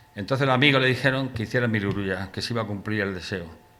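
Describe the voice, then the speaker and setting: In a medium pitch with ordinary pitch variation, a man talks fairly quickly amid noticeable background noise and audible room echo. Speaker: poet presenting his book. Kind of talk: book presentation talk. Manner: fast; poorly articulated.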